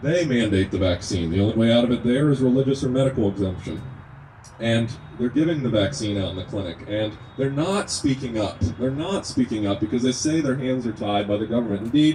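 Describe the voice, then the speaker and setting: The speech moves at a fairly quick pace with lively intonation over noticeable background noise. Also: man, medium pitch for a man. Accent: slight Kentucky. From Kentucky. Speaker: natural medicine student and activist speaker. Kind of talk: speech at an outdoor rally. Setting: outdoors at a rest stop with a crowd.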